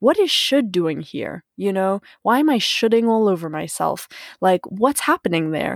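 A woman at medium pitch talks at a moderate pace with lively intonation, in a very clean recording with a silent background and a dry, close sound with no echo. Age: 20s. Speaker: solo podcaster and coach. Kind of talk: reflective solo monologue. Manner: halting, with many fillers.

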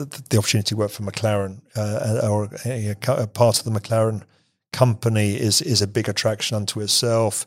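A man with an English accent, medium in pitch, at a moderate pace. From England. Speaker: business executive. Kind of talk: interview. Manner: halting, many repeated words.

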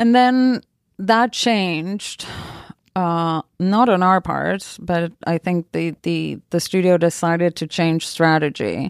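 Very slowly, a woman speaks in a fairly low pitch with ordinary pitch variation. The recording is very clean with a silent background and a dry, close sound without echo. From Argentina. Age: 40s. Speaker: film producer. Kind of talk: interview. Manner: halting.

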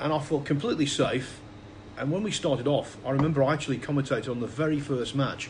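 With an English accent, a man talks at a fairly quick pace amid audible room echo and noticeable background noise. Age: 50s. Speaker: snooker commentator. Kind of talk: casual chat.

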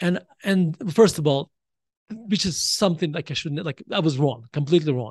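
Over a quiet background, a man with a Russian accent and a fairly high pitch is heard in a dry, close sound with no echo. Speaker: author. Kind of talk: interview. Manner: halting.

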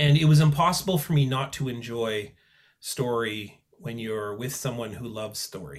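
A man with a Canadian accent and a normal speaking voice speaks at a medium pitch and a moderate pace. His intonation is lively, and his loudness swings widely. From Manitoba, Canada (Selkirk). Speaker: author and professor. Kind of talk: interview conversation.

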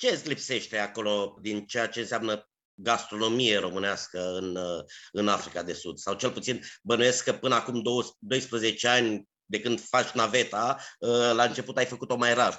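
The man has an ordinary speaking voice, delivered at a moderate speed with pitch that varies in an ordinary way. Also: medium pitch for a man. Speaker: culinary historian and podcast host. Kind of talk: interview. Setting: remote call.

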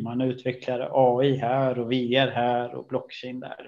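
Fairly slow delivery from a male speaker. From Stockholm, Sweden. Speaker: AI executive. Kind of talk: interview. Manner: hesitant, many fillers.

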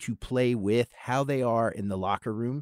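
Captured in a dry, close sound with no echo, a man with a normal speaking voice and an American accent speaks fairly slowly at a medium pitch with ordinary pitch variation. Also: very clean recording, silent background. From US South, Charlotte, North Carolina. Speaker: radio news anchor. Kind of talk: casual radio interview.

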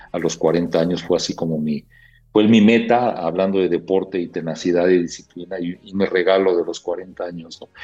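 Over music in the background, a man with a very deep, low pitch speaks in a monotone, flat intonation. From Mexico City. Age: 60s. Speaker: corporate HR executive. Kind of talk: interview conversation. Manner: halting with fillers.

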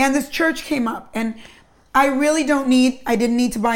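A plain, everyday voice from a woman with fairly even intonation. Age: 50s. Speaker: podcast host. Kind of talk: interview.

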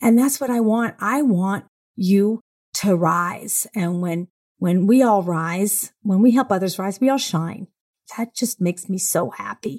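At a fairly slow pace, a woman with a medium pitch and a somewhat breathy voice speaks with ordinary pitch variation in a dry, close sound with no echo. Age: 60s. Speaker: CEO of a women's equality company. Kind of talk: interview. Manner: animated.

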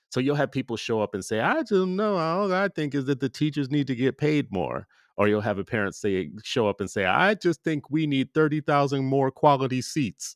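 A man's unremarkable speaking voice, fairly high for a man, with lively intonation at a moderate pace. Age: 50s. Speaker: podcast host and parent advocate. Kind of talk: interview conversation.

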